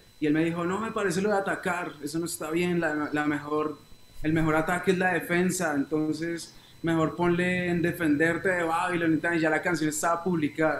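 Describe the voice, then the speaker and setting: A man talks at a fairly quick pace in a high, flat monotone. Background noise is noticeable throughout. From Colombia, Bogotá and Neiva (Huila). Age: 20s. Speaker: reggae singer. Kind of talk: interview.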